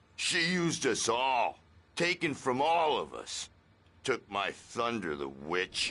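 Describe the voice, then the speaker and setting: A put-on character voice from a man, fairly slow in pace. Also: medium pitch for a man. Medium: video game. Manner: spacey.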